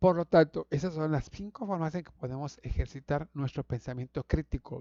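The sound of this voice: A man with fairly high pitch, a dark and mellow tone, ordinary pitch variation and a fairly quick pace, in a dry, close sound with no echo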